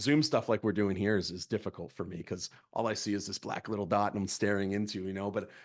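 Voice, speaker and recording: Against a quiet background, a man with an American accent talks very fast in an animated tone at a fairly low pitch. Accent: Boston accent, comes and goes. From Massachusetts (Plymouth, Boston area). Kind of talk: training presentation. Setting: video call (Zoom). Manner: animated, repetitive false starts.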